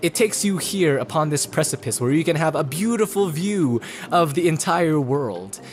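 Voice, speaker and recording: A fairly high-pitched man amid noticeable background noise. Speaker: let's play gamer. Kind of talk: gameplay commentary. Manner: fast; animated.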